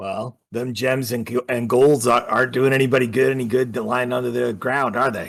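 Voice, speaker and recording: A man does a put-on character voice, raspy and at a medium pitch, with monotone, flat intonation. He talks at a fairly quick pace with hardly any pauses. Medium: actual play. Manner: plain-spoken, dry.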